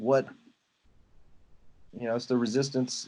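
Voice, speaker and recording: A man with a Louisiana accent speaks in a dark, mellow tone. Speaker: photographer and mentor. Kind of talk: casual mentoring conversation.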